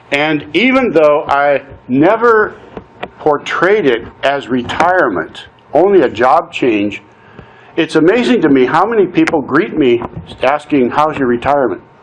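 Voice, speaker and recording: A man's fairly high voice at a moderate pace, with lively intonation over noticeable background noise. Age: 60s. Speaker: nonprofit consultant and coach. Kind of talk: personal testimony talk. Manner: conversational, some hesitations.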